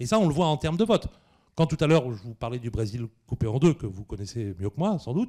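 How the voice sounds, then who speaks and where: A man speaks at a fairly quick pace in a dark, mellow, somewhat breathy tone with lively intonation. The recording is very clean, with a silent background. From northern France (Picardy). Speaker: history professor. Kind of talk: Q&A after a public lecture. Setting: cinema hall with audience. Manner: hesitant, many fillers.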